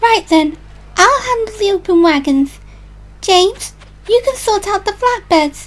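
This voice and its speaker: A female-sounding, put-on character voice speaks at an extremely high pitch for a woman and a moderate pace. Long, frequent pauses break up the speech over clear background noise. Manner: eager, a bit bossy.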